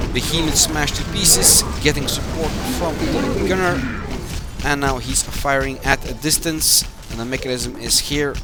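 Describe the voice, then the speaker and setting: Audible room echo and noticeable background noise around a moderately paced male speaker. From Belgium. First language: Dutch. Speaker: game community manager and match commentator. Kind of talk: live esports commentary. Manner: hesitant, with filler sounds.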